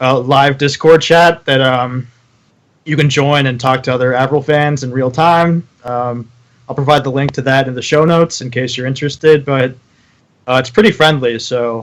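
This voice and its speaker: Moderately paced speech from a man, medium in pitch and with fairly even intonation. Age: 20s. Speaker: podcast host. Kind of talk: casual chat. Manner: hesitant, many fillers.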